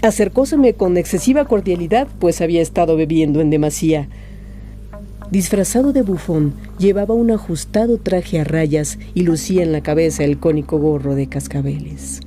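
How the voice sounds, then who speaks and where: Music playing behind a woman talking at a moderate pace. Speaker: voice actor. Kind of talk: short story reading.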